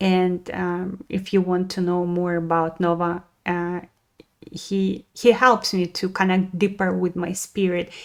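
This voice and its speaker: A woman's medium-pitched voice at a very slow pace. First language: Russian. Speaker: spiritual wellness podcaster. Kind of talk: casual podcast monologue. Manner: halting, many fillers.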